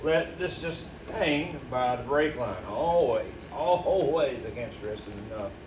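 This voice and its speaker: Very slow speech amid noticeable background noise and audible room echo. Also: man. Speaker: DIY car repair video host. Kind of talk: tutorial. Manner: halting, repeats words.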